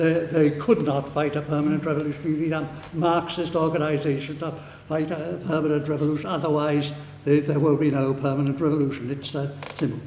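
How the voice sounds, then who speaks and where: A man with a Welsh accent talks at a fairly quick pace in a fairly high pitch, monotone with flat intonation, amid audible room echo and noticeable background noise. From Wales. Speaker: socialist activist speaker. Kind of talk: debate summing-up speech. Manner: halting, many fillers and restarts.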